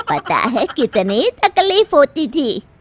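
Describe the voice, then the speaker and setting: A woman's cartoonish character voice with very wide pitch swings. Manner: calm, knowing.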